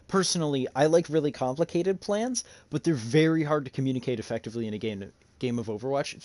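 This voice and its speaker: A man talks at a fairly quick pace with a fairly high pitch. The background is quiet. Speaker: esports team coach. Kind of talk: team VOD review. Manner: halting, many fillers and repeats.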